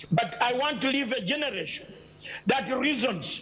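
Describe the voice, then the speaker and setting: Speaking at an extremely high pitch, a man moves at a fairly slow pace with lively intonation. Noticeable background noise and audible room echo come through. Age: 60s. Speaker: political commentator. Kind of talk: heated debate. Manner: animated.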